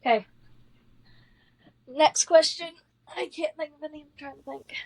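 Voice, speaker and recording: A woman speaks at a high pitch and a moderate pace, with ordinary pitch variation. Her loudness swings widely in a dry, close sound with no echo. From US South. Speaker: podcast co-host. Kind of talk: casual chat. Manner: animated.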